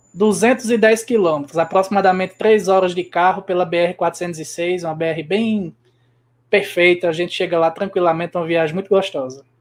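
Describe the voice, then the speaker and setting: In a northeastern Brazilian accent, a man with a high pitch talks at a fairly quick pace with fairly even intonation, in a very clean recording with a silent background. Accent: Northeastern Brazilian sertão. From Brazil, Rio Grande do Norte interior (Seridó). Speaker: guest interviewee, spiritist speaker. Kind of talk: interview.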